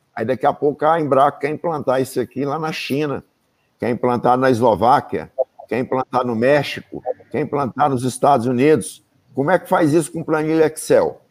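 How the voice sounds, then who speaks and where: This is a normal speaking voice from a man, pitched fairly high. He talks at a moderate pace with ordinary pitch variation. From Brazil, Bahia and interior of Minas Gerais. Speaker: safety engineer and professor. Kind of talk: interview in a live stream.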